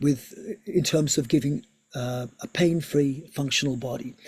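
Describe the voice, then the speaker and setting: A man speaks with a fairly high pitch. His voice is somewhat breathy, with lively intonation. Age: 60s. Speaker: yoga teacher and physiotherapist. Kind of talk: online seminar lecture. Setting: video call.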